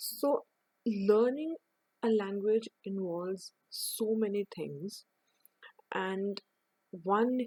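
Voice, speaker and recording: At a very slow pace, a woman with an Indian accent speaks at a medium pitch in a dark, mellow tone, the sound dry and close with no echo. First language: Hindi. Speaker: English teacher. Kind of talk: online lesson. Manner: halting.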